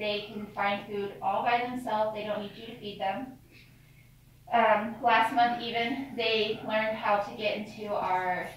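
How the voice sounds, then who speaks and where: A woman's fairly slow, fairly even-toned speech, with strong room echo and light background noise. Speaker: cave tour guide. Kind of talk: guided tour talk. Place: tunnel cave. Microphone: camera far.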